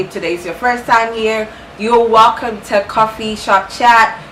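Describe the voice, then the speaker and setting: A woman talks at a moderate pace with a fairly high pitch and an animated tone. Background noise is noticeable. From Ghana. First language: Ghanaian language (English is her third). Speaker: booktuber. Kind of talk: book review vlog.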